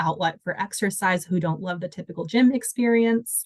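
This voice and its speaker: A woman with an American accent has a plain, everyday voice. She speaks at a moderate pace and medium pitch with ordinary pitch variation. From Washington state. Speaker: dancer and volunteer coordinator. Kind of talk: interview answer.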